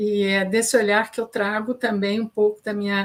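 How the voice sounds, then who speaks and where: An ordinary speaking voice at a fairly slow pace. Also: woman. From Goiás, Brazil. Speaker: journalist and communication consultant. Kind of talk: panel discussion.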